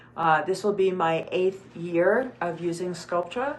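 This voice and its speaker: A woman's fairly low voice at a fairly slow pace. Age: 60s. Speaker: cosmetic surgery patient and clinic co-owner. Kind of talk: live procedure walkthrough. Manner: hesitant, many fillers.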